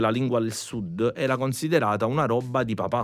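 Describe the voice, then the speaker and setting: A man speaking at a fairly quick pace in a normal speaking voice. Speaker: musician. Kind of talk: podcast conversation.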